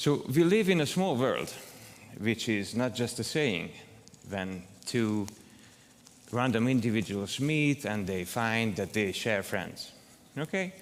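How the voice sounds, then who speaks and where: A man in a Hungarian accent, very slow with long, frequent pauses, medium pitch and lively intonation, in audible room echo. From southern Hungary. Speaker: academic researcher, conference keynote speaker. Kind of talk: keynote lecture. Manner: hesitant, many fillers.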